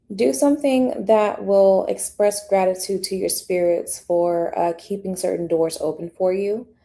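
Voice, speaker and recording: Her dark, mellow voice sits at a medium pitch with ordinary variation, and the woman moves at a fairly slow pace with hardly any pauses. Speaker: tarot reader. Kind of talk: horoscope reading. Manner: casual, filler-heavy.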